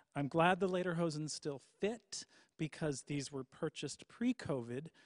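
A man's voice with ordinary pitch variation, dry with no echo, against a quiet background. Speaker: hymn sing host. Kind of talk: casual presentation to a livestream audience. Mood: jovial, light humor. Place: church. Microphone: studio mic.

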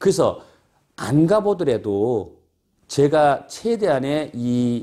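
This voice has a dark, mellow tone and very wide pitch swings against a quiet background. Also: man. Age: 50s. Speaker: solar investment broker; solar sales director. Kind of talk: informational monologue. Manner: halting, many fillers. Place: office.

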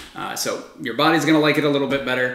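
A man talks in a space with noticeable room echo. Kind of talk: casual vlog chat. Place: kitchen.

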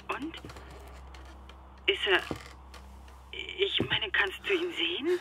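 A woman does a put-on character voice at medium pitch with a bright, sharp tone, big pitch swings and a slow pace, with faint background noise.

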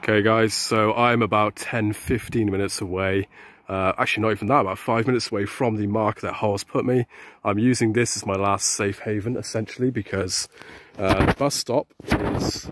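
Flat, monotone delivery at a moderate pace, with a dry sound and no echo. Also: man, fairly low pitch for a man. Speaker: vlogger. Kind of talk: casual vlog chat. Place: street. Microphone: phone near.

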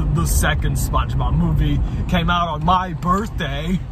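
Loud background noise fills this dry recording with no echo. The speech moves at a fairly slow pace. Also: man. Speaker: vlog co-host. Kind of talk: casual vlog chat. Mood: relaxed, joking. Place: car.

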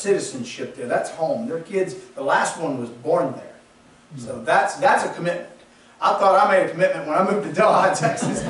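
Delivered at a fairly quick pace with lively intonation, the voice carries audible room echo. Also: man, high pitch for a man. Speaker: pastor. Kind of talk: sermon. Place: church.

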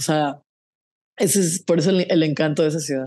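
Lively intonation from a woman at a moderate pace, in a quiet background. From Mexico, San José del Cabo, Baja California Sur; Baja California Sur, Mexico. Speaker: singer-songwriter; interviewee. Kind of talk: casual interview. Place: home room. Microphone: earbuds.

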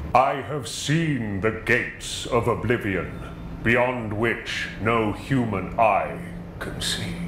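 In a put-on character voice, a man talks at a very slow pace and medium pitch amid loud background noise. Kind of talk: posh, dramatic. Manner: grandiose, theatrical.

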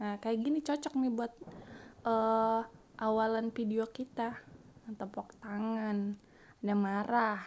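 A woman speaks at a very slow pace, with long, frequent pauses. Her pitch is fairly high and her intonation fairly even. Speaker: gaming youtuber. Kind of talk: gameplay commentary. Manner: casual, chatty; voiceover recorded after editing.

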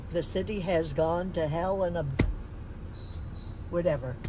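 A woman's fairly low voice at a moderate pace, dry with no echo, with noticeable background noise. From Santa Monica, California. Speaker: longtime local resident. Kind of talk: interview answer. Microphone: phone near.

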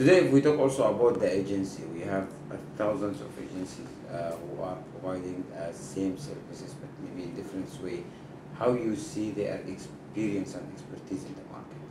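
The intonation is lively, set against noticeable background noise. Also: man, fairly low pitch for a man, moderate pace. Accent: Arabic. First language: Arabic. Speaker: TV show host. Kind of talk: interview. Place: office.

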